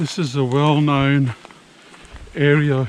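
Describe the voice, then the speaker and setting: The speaker has an Australian accent, and there is noticeable background noise. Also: man. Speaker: travel vlogger. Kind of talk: casual vlog talk to camera.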